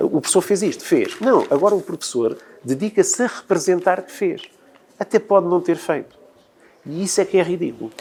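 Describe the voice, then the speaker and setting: The speaker uses lively intonation at a fairly quick pace, broken by long, frequent pauses. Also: man, high pitch for a man. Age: 60s. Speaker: teacher. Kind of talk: televised debate.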